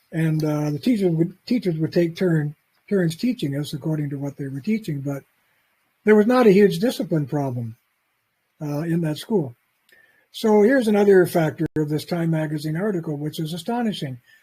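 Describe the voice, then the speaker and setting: A man with a fairly high pitch and a dark, mellow tone speaks at a moderate pace with lively intonation. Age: 80s+. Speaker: author and lecturer. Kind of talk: lecture. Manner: halting.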